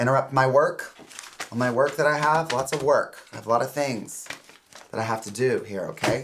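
A man at a moderate pace, fairly even intonation, noticeable background noise behind him. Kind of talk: scripted comedic dialogue, lecturing. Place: office.

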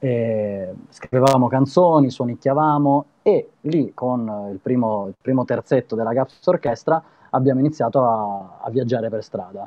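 A man talks at a fairly slow pace, with ordinary pitch variation. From Italy. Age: 30s. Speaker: street performer and musician; guest. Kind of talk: casual interview. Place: home room. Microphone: video call.

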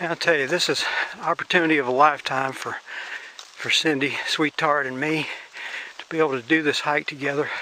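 Over light background noise, a man speaks in a monotone, flat intonation with a dry sound and no echo. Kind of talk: casual vlog chat. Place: forest. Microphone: phone near.

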